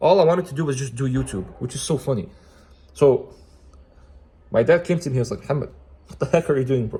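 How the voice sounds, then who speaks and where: The man's tone is animated and his pace very fast. He leaves long pauses often. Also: fairly high pitch for a man, ordinary pitch variation, big swings in loudness. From Oman, then Canada. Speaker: YouTuber giving Islamic self-help advice. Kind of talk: casual motivational talk.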